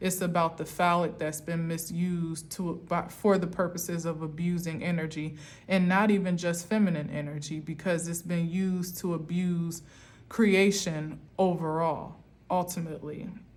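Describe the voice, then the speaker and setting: A woman in an American accent, fairly low-pitched, monotone and flat, at a moderate pace with audible room echo. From US Northeast, Camden, New Jersey. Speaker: tarot reader. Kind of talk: spiritual tarot reading monologue.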